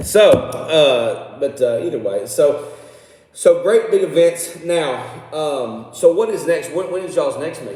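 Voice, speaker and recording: A man with a Southern US accent speaks fairly slowly, his loudness swinging widely. Audible room echo and noticeable background noise surround him. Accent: US South (Tennessee). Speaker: local radio show host; coach. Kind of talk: casual interview.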